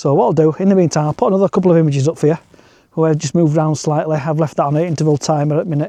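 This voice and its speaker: With a Yorkshire accent, a fairly high-pitched man speaks very fast in a dark, mellow tone, keeping very even loudness and fairly even intonation. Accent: northern English (Yorkshire). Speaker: landscape photographer and vlogger. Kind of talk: walk and talk vlog. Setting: outdoors at night.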